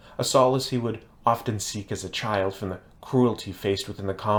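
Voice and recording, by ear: The passage is read aloud in a natural voice.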